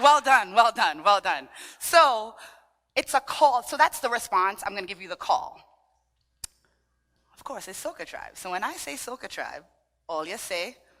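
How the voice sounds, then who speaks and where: A woman's fairly high, bright and sharp voice with a Trinidadian accent at a moderate pace, with long, frequent pauses, very wide pitch swings and big swings in loudness, in a very clean recording with a silent background. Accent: Trinidadian, sing-song. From Trinidadian family in Brooklyn, New York. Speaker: dance fitness instructor. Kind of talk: workshop with audience participation. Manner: animated.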